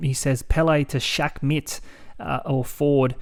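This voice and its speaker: A man's fairly high, monotone voice with flat intonation, with an Australian accent. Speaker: fantasy sports podcast host. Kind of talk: casual podcast chat.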